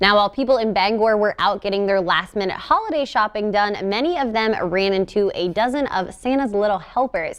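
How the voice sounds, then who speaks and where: A woman with an American accent has an ordinary speaking voice at a fairly high pitch. She talks at a fairly quick pace with lively intonation. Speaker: TV news anchor and reporter. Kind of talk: TV news anchor delivery.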